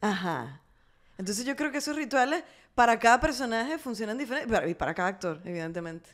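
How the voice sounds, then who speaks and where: Against a quiet background, a woman talks very fast at a fairly high pitch with very wide pitch swings. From Venezuela. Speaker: actress and singer; actress. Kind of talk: casual chat. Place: home room. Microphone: studio mic.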